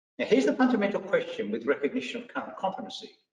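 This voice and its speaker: There is audible room echo as a man talks with an Australian accent. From Australia, country Victoria. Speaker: vocational education trainer. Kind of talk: professional development lecture.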